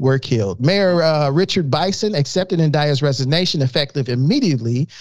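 A man with a fairly high pitch and an American accent has an ordinary speaking voice. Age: 40s. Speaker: podcast co-host. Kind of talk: reading news articles aloud; casual chat.

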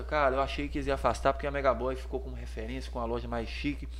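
At a very fast pace, a man with a very deep, low pitch talks with vocal fry, and audible room echo fills the recording. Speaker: menswear store owner, entrepreneur. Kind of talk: casual interview chat.

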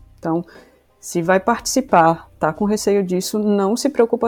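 With music in the background, a woman speaks fairly slowly at a fairly high pitch. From Brazil, Rio Grande do Sul and Salvador, Bahia. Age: 30s. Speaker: software developer intern. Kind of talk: casual podcast interview.

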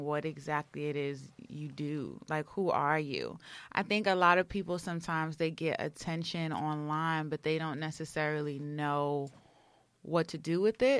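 Delivered at a fairly slow pace, the speech comes through in a very clean recording with a silent background. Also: woman. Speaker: agency founder and business owner. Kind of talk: casual interview.

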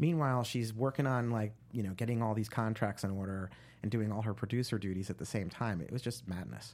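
Recorded very cleanly against a silent background, a man with an American accent speaks fairly quickly in an unremarkable speaking voice with ordinary pitch variation. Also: medium pitch for a man. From New Jersey. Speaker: screenwriter and producer. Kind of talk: interview.

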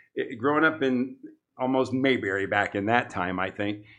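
A man is speaking. He talks with a Midwestern American accent. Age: 60s. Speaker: real estate broker. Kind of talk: casual interview.

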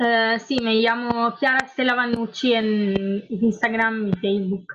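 At a very slow pace, a woman speaks at a fairly high pitch with monotone, flat intonation. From Italy, Lombardy (Milan). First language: Italian (speaking Spanish). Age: 20s. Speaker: engineering student and activist. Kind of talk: interview. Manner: halting, many fillers.

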